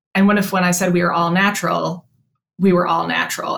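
An ordinary speaking voice, a woman's fairly low pitch with an American accent, fairly even intonation, and a fairly quick pace. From Chicago. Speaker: veterinarian and company co-founder. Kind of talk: interview.

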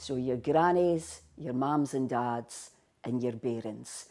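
Very slow and very deep in pitch, a woman speaks in a dark, mellow tone with ordinary pitch variation. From Scotland, Buckie area. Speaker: linguistics lecturer. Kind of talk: explanatory talk on Scots language.

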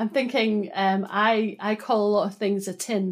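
A woman at medium pitch in a Scottish accent, with ordinary pitch variation, on a very clean recording with a silent background. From Scotland, Broughty Ferry (Dundee). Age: 40s. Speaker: data consultant. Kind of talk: interview.

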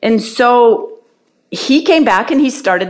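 With an ordinary speaking voice, a woman talks at a fairly slow pace using lively intonation. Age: 60s. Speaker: retired cross-country ski racer. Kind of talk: casual interview answers.

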